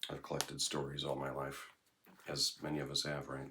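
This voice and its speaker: Using vocal fry, a man with a very deep, low pitch speaks at a fairly quick pace. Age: 60s. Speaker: vlogger. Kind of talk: casual monologue vlog. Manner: rambling, hesitant with fillers.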